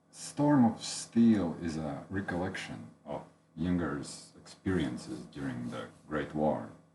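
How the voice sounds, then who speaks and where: In a Latvian accent, a man speaks very slowly in a very deep, low voice with lively intonation. Audible room echo surrounds him. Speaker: book reviewer. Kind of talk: unscripted book review. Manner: halting, many fillers.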